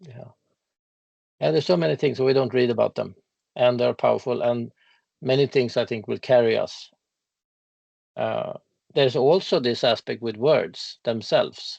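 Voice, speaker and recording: Long, frequent pauses mark this man's speech. He talks with a Swedish accent. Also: moderate pace. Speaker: legal expert on ecocide law. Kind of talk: casual interview conversation. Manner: halting.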